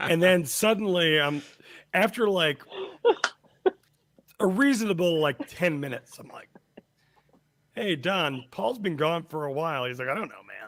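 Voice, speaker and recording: Pitched high, a man speaks at a moderate pace with lively intonation, big swings in loudness, and long, frequent pauses. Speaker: podcast co-host. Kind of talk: casual chat, storytelling.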